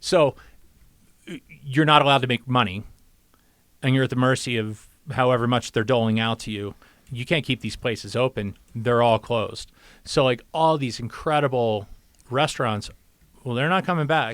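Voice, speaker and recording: A man with an American accent speaks at medium pitch with ordinary pitch variation. He takes long, frequent pauses on a very clean recording with a silent background. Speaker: podcast co-producer. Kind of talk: casual chat. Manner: fast; loud.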